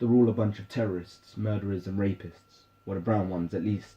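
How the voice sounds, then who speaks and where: This is a man speaking with a British accent. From British, raised in London. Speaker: spoken word poet. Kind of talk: spoken word poetry.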